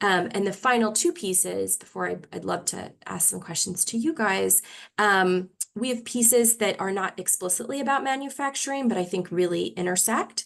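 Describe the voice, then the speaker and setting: Lively intonation in an American accent. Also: woman, medium pitch for a woman. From New York. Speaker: researcher. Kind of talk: webinar presentation. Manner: fast.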